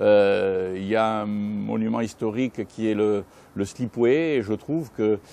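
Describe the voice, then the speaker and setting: This man's voice is fairly low, with a dark, mellow tone. He talks at a very slow pace with ordinary pitch variation. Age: 60s. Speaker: former mayor. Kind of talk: interview. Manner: hesitant, many fillers.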